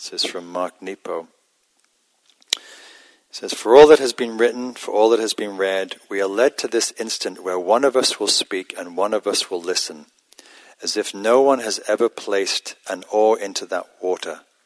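Here is a man with an ordinary speaking voice, fairly low in pitch, with ordinary pitch variation. He talks at a moderate pace in a dry, close sound with no echo. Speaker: meditation teacher. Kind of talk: guided meditation. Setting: meditation center with live audience.

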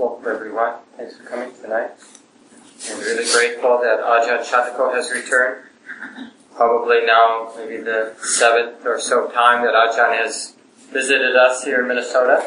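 A man talks at a moderate pace in a medium-pitched voice with monotone, flat intonation. Noticeable background noise runs underneath. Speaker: meditation center host introducing the teacher. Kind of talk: welcome and introduction.

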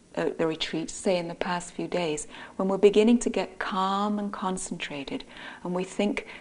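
Reading done in an unforced voice

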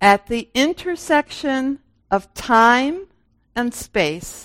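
A woman speaks with an American accent and lively intonation. The sound is dry and close, with no echo. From US Midwest, Michigan and Minnesota. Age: 70s. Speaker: Zen meditation teacher. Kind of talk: dharma talk. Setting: meditation center with audience.

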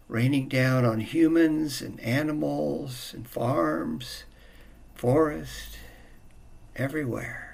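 A man's calm, gentle voice at a very slow pace, with noticeable background noise. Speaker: meditation teacher. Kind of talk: guided meditation. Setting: meditation retreat. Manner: slow, calm, gentle; long pauses between soft-spoken instructions.

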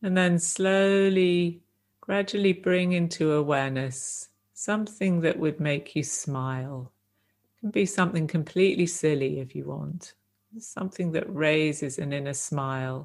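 A woman's ordinary speaking voice, fairly low in pitch, with ordinary pitch variation. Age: 50s. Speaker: meditation teacher. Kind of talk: dharma talk; guided meditation. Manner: slow.

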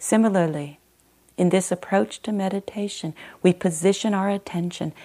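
On a very clean recording with a silent background, a woman with a fairly low pitch has a plain, everyday voice. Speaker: meditation teacher. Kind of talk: guided meditation; Dharma talk, then guided meditation. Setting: meditation retreat center. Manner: calm, slow and gentle, with long pauses; soft-spoken, soothing, steady.

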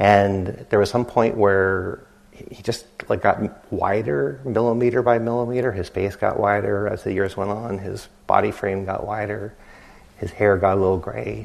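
With audible room echo, a man talks at a moderate pace in a fairly low pitch and fairly even intonation. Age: 50s. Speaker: meditation teacher. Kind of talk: dharma talk. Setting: retreat center meditation hall.

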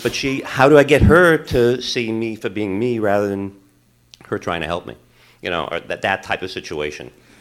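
With lively intonation and a moderate pace, an unremarkable speaking voice comes through on a very clean recording with a silent background. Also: man, fairly low pitch for a man. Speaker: audience member, parent. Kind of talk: question from audience. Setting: meditation hall with audience.

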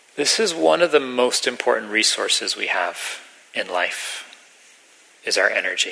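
Over noticeable background noise, the speech moves at a moderate pace with long, frequent pauses. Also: man. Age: 40s. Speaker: meditation teacher. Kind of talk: dharma talk.

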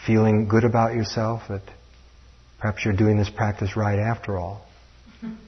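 This man's voice is fairly low and somewhat breathy, with a flat, monotone delivery. He keeps a moderate pace but leaves long, frequent pauses. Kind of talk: guided meditation.

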